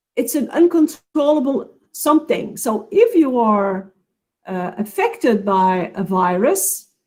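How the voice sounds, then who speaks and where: Speaking at a fairly slow pace in a non-native accent, a woman has a fairly high, somewhat breathy voice with very wide pitch swings. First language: not English. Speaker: counselling expert speaker. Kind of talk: webinar Q&A answer. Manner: halting.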